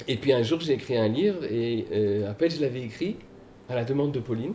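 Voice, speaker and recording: A man at a medium pitch with ordinary pitch variation, an unremarkable speaking voice. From Paris, France. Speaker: author and guitarist. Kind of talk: casual panel talk at a book event.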